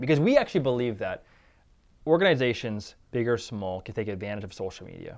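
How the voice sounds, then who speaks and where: Mumbling at a fairly quick pace, a man speaks at a medium pitch with ordinary pitch variation against a quiet background. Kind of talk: casual interview chat. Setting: studio. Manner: fast talker, mumbles.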